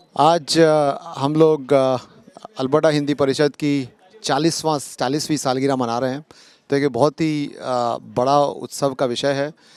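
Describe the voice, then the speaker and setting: With a non-native accent, a man speaks in a fairly high, flat monotone on a very clean recording with a silent background. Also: dry, close sound with no echo. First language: not Hindi (speaking Hindi). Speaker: community organization member. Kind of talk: interview. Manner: halting, many fillers.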